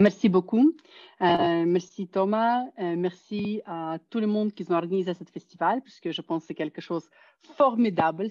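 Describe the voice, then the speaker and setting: At a moderate pace, a woman with a non-native accent speaks at a medium pitch with ordinary pitch variation. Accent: foreign accent in French. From Soviet Union. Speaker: psychology professor. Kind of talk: conference talk. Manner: hesitant.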